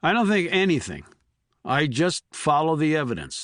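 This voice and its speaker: A man uses a raspy, put-on character voice, fairly high in pitch, with lively intonation. He keeps a moderate pace against a quiet background. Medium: read story. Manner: understated, level.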